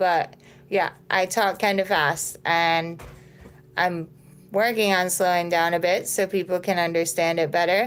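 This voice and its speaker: On a very clean recording with a silent background, a woman speaks at a moderate pace and medium pitch in an ordinary speaking voice. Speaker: nervous system and mindset coach. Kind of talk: live stream talk to viewers. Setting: social media live video.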